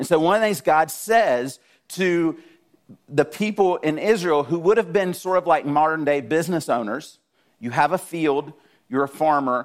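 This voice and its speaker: A man with a Southern US accent speaks at a fairly high pitch. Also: ordinary pitch variation, moderate pace. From South Georgia, US. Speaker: guest preacher. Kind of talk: sermon.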